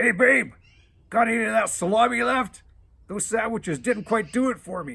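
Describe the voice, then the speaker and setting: A man uses a put-on character voice that is raspy and high-pitched. He projects it loudly at a moderate pace. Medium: read story. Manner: lazy, casual, calls her babe.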